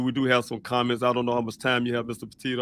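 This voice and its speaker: A man speaks at a medium pitch. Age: 50s. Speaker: father of a missing person hosting a vigil livestream. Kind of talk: livestream talk. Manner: hesitant, many fillers.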